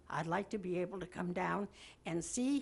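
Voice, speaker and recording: Vocal fry runs through this woman's medium-pitched voice. She speaks at a moderate pace. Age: 80s+. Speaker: elderly homeowner's mother speaking at hearing. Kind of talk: public comment at town board meeting.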